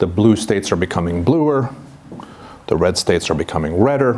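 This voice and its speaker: With a fairly low pitch and ordinary pitch variation, a man speaks at a moderate pace over noticeable background noise. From Sweden and Vancouver, Canada. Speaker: historian, professor. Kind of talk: seminar talk. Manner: hesitant, many fillers.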